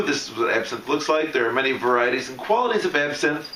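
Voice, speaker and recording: Speech comes at a very fast pace amid audible room echo and noticeable background noise. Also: man. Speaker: steampunk hobbyist demonstrating an absinthe kit. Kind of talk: unscripted product demonstration. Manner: ad-libbed, casual.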